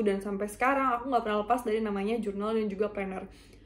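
Her voice sits fairly high in pitch. The woman speaks in a monotone, flat intonation. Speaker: university student. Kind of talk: self-introduction presentation. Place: home room. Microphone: webcam.

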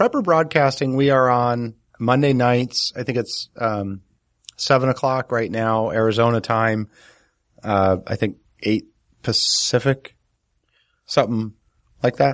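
A man with an American accent and a medium pitch speaks fairly slowly with ordinary pitch variation and long, frequent pauses, the sound dry and close with no echo. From New Jersey. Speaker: podcast co-host, homesteader. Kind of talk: casual chat.

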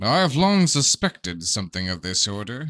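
An unremarkable speaking voice from a man at medium pitch and a fairly slow pace, dry and close with no echo, in a very clean recording with a silent background. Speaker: amateur audiobook narrator. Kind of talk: audiobook reading.

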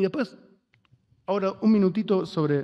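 Against a quiet background, a man speaks with a high pitch and lively intonation. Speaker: panelist, writer and activist; panelist. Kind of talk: panel discussion. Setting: auditorium panel with audience and interpreters. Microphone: podium.

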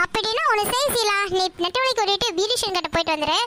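In a cartoonish character voice, a woman squeaks at an extremely high pitch and a fairly quick pace, with clear background noise behind her. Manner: polite, measured.

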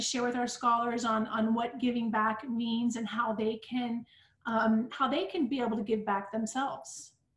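Audible echo of the room around a woman's voice. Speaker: interviewer and school host; school interviewer host. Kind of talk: interview. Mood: warm, upbeat, grateful. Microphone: video call.

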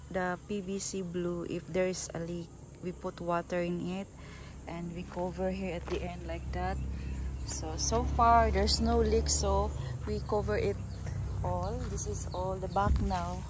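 The speech moves at a fairly slow pace over noticeable background noise. The sound is dry, with no echo. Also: woman. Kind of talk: casual vlog chat. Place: garden. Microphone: phone near.

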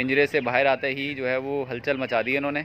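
Over faint background noise, a man speaks fairly quickly at a medium pitch in a fairly bright tone, with little pitch movement.

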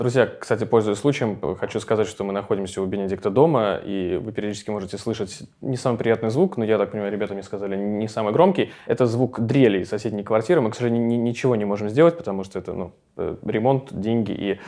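The speaker goes at a very fast pace with hardly any pauses, a dark, mellow tone and ordinary pitch variation against a quiet background. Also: man, fairly low pitch for a man. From Russia. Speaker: club media interviewer. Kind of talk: interview. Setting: at home. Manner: halting. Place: home room. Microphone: lapel.

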